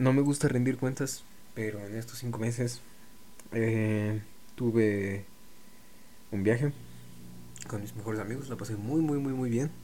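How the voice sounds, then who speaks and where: A man speaks at medium pitch and a fairly slow pace, with long, frequent pauses and fairly even intonation. Audible room echo surrounds his voice. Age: 20s. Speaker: podcaster. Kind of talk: solo monologue. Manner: halting.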